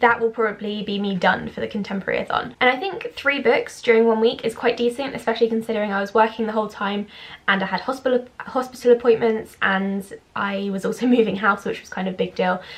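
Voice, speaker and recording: A fairly high-pitched woman's voice with a British accent at a very fast pace, fairly even intonation and big swings in loudness, amid noticeable background noise. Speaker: book vlogger. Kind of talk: casual vlog.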